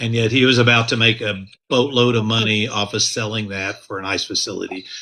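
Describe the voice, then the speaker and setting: Loud and flat, a man with an American accent speaks in a monotone at a medium pitch and a fairly quick pace. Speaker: county commissioner candidate and activist. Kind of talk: interview.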